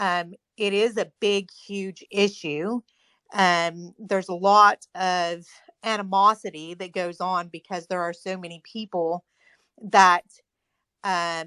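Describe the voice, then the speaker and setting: In a dry, close sound with no echo and a quiet background, a woman speaks at a very slow pace with long, frequent pauses, a bright, sharp tone, monotone, flat intonation and big swings in loudness. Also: medium pitch for a woman. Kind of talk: group discussion.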